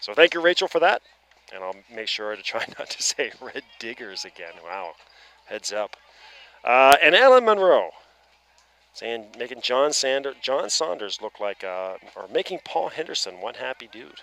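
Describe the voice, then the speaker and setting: At a moderate pace, a man's voice makes very wide pitch swings and big swings in loudness, with a dry, close sound and no echo. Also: medium pitch for a man. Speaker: baseball play-by-play commentator. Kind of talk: live sports commentary.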